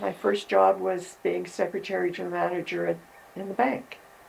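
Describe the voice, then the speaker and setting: The speaker has a Canadian accent and talks at a moderate pace with very wide pitch swings. Noticeable background noise runs underneath. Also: woman. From Quebec, Canada. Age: 80s+. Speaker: retired social worker. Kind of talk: interview. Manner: halting.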